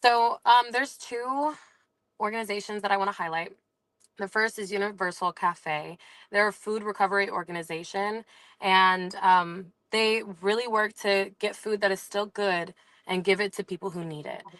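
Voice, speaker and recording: Against a quiet background, a woman with a plain, everyday voice speaks at a medium pitch and moderate pace, with ordinary pitch variation. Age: 20s. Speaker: small business owner. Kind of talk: casual chat.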